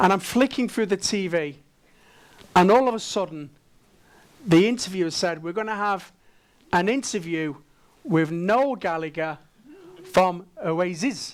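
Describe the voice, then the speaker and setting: A man with a Manchester accent speaks in an animated tone at a high pitch with ordinary pitch variation. He talks at a fairly slow pace with long, frequent pauses. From northern England, Manchester. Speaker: dental management trainer and conference speaker. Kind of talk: conference presentation. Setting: stage with audience, simultaneous translation.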